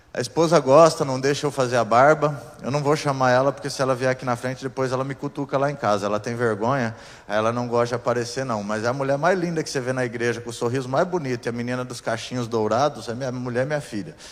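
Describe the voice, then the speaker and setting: A man talks at a very fast pace with hardly any pauses, his medium-pitched voice fairly even in intonation. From southern Brazil, Curitiba area, Paraná. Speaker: pastor. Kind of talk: sermon.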